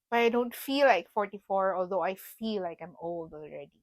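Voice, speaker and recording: This woman has a normal speaking voice, medium in pitch. She talks at a moderate pace with ordinary pitch variation. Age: 40s. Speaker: podcast co-host. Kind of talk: casual chat.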